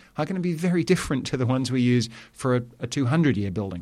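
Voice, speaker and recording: A man talks very fast with lively intonation at a medium pitch. The recording is very clean, with a silent background. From Southeast England. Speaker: sustainability education executive. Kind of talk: interview. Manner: hesitant with frequent fillers.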